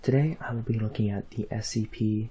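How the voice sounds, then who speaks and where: Soft-spoken and somewhat breathy, a man talks at a fairly low pitch. His tone is dark and mellow. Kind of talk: casual talk to camera.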